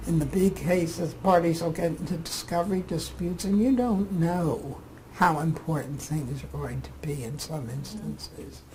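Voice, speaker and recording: A woman's voice rises and falls sharply in loudness. Noticeable background noise sits behind her. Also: moderate pace, hardly any pauses. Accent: American. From Philadelphia, Pennsylvania. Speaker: retired administrative judge. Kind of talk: oral history interview answer.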